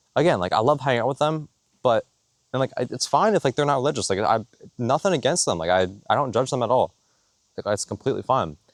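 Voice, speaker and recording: A man's medium-pitched voice at a very fast pace, broken by long, frequent pauses, with lively intonation, a dry, close sound with no echo and a quiet background. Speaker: vlogger. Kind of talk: testimony. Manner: rambling, halting with fillers.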